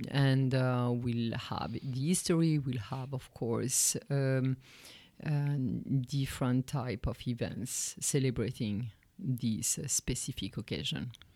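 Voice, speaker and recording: In a French accent, a woman speaks with a very deep, low pitch and a dark, mellow tone, with ordinary pitch variation. Her pace is very slow, and the recording is very clean with a silent background. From France. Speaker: art history professor and research center director. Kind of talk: interview.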